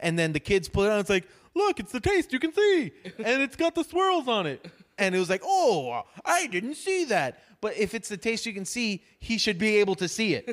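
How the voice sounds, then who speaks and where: Speaking with an American accent at a moderate pace, a man sounds animated, his high pitch moving in very wide swings over a dry, close sound with no echo. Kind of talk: casual chat with comedic storytelling.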